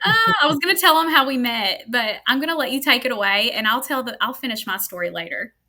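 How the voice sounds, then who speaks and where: In a Kentucky accent, a woman with a high voice speaks loud and projected at a very fast pace with hardly any pauses and very wide pitch swings. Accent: US Southern (Kentucky). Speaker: podcast host, staffing market manager. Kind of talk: casual interview podcast. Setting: live stream.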